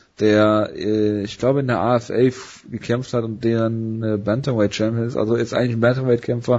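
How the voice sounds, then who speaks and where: A man speaks in a monotone, with flat intonation. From Ruhr area, Germany. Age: 30s. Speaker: MMA podcast host. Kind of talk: casual sports chat.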